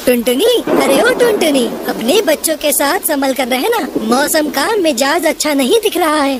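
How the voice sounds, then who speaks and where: A high-pitched, cartoonish character voice at a moderate pace, over clear background noise. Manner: kindly, paternal.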